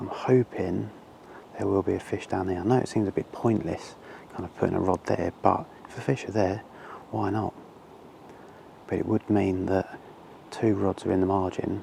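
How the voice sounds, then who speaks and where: At a moderate pace with fairly even intonation, the speech has long, frequent pauses and noticeable background noise. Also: man, very deep, low pitch for a man. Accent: English. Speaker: angler vlogger. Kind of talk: outdoor vlog commentary. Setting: outdoors by a lake. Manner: casual; quiet.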